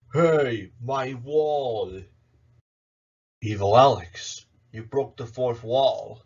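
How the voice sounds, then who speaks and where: A man speaks in a put-on character voice at a medium pitch. He talks very slowly, with long, frequent pauses. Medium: solo performance. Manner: theatrical, villainous.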